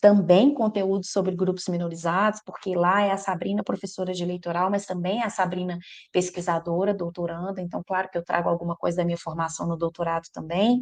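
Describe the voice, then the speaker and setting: Delivered with a strong Minas Gerais accent, the speech runs at a fairly quick pace with fairly even intonation and hardly any pauses. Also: woman, fairly low pitch for a woman. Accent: strong Minas Gerais (mineiro). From Minas Gerais, Brazil. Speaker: electoral law professor. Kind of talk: podcast interview.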